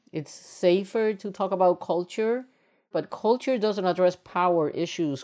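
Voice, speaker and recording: Fairly low in pitch, a woman's voice carries a dark, mellow tone. She speaks at a moderate pace over a quiet background. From Puerto Rico. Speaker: university diversity administrator. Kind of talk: interview.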